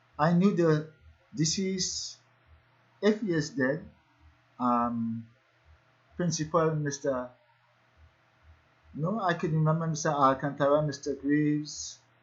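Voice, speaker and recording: A man's somewhat breathy voice, fairly slow with long, frequent pauses and ordinary pitch variation. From Trinidad, Port of Spain. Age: 70s. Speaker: calypsonian. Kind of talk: personal monologue. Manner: halting.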